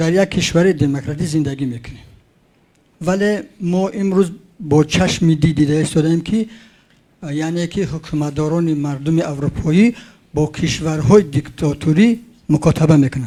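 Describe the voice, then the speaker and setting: The voice has a dark, mellow tone and moves at a fairly slow pace. Its pitch varies an ordinary amount. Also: man. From Tajikistan. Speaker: audience member asking a question. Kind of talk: public comment at conference. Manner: halting.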